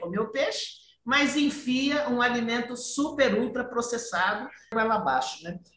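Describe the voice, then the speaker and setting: Through audible room echo and noticeable background noise, a woman with fairly high pitch speaks at a fairly slow pace. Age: 60s. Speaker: podcast host. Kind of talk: casual chat.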